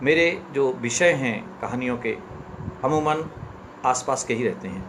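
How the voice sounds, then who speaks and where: Noticeable background noise and audible room echo surround the voice. The pitch varies in an ordinary way. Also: man. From central India, Chambal region (Ashoknagar, Madhya Pradesh). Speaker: author. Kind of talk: live-stream talk and story reading.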